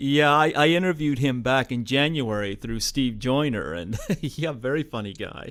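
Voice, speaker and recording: An unremarkable speaking voice in a Canadian accent, at a moderate pace with ordinary pitch variation, in a very clean recording over a silent background. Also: man, medium pitch for a man, hardly any pauses. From New Brunswick, Canada. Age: 40s. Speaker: radio host. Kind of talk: interview.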